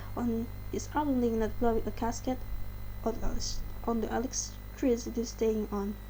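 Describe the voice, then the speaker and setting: Audible room echo surrounds a woman speaking with an Indonesian accent. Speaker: channel host reading articles. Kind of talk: reading aloud.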